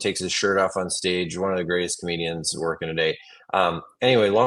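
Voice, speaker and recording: A man talks with a Wisconsin accent. His pitch is very deep and low. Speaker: comedian. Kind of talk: interview answer. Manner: casual, jokey.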